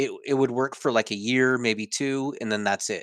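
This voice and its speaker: A man talks at a fairly quick pace in a plain, everyday voice. His pitch varies in an ordinary way, and the sound is dry and close with no echo. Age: 40s. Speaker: weight loss survivor and speaker. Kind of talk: interview. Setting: home office.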